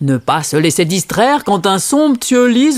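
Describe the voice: The recording is plain reading aloud.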